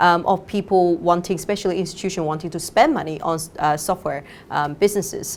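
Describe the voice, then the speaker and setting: Speaking at a fairly quick pace with a Chinese accent, a woman uses a fairly low pitch and ordinary pitch variation. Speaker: fund manager. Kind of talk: interview. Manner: halting, many fillers.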